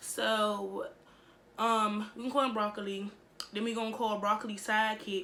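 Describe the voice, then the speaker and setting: A woman's medium-pitched, monotone voice with flat intonation at a moderate pace, amid noticeable background noise and audible room echo. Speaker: YouTuber. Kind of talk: storytime vlog. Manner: casual, filler-heavy.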